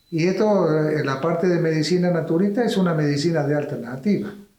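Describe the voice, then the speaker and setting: Fairly even intonation at a fairly quick pace, with audible room echo. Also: man. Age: 80s+. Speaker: doctor. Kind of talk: interview.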